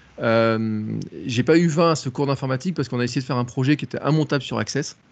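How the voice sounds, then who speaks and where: Delivered very fast, the speech shows ordinary pitch variation. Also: man. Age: 40s. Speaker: content creator. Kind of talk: casual chat.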